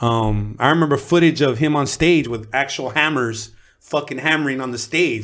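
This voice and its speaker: A man with an American accent in an unremarkable speaking voice, at a medium pitch with ordinary pitch variation and a moderate pace. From Los Angeles area (Pico Rivera). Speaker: rapper, formerly incarcerated. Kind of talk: interview, casual chat.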